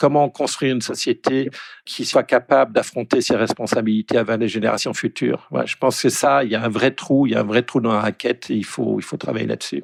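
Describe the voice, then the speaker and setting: A man at a fairly quick pace in a dry, close sound with no echo. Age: 60s. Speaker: economist. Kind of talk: interview.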